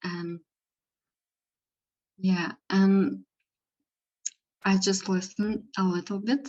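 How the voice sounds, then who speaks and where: A woman's somewhat breathy, medium-pitched voice with a non-native accent at a very slow pace. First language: not English. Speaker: spiritual session participant. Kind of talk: spiritual guidance dialogue. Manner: halting, hesitant.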